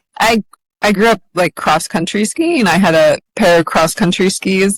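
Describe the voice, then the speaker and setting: A woman with an American accent speaks at a moderate pace in a medium pitch, with ordinary pitch variation and very even loudness, in an unremarkable speaking voice. The sound is dry and close with no echo. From central New York, US. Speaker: endurance athlete and author. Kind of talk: podcast interview.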